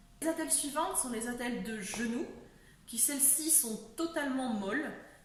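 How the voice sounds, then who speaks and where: High-pitched, with ordinary pitch variation, a woman talks at a moderate pace. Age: 20s. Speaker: person living with a chronic illness. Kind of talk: casual talk to camera.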